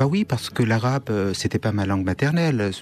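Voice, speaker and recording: A man with a Kurdish accent speaks at a fairly quick pace and a medium pitch. His intonation is lively. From Syria (Kurdish northeast). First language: Kurdish (speaking French). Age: 50s. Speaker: writer. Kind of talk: radio interview. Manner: halting, with hesitations.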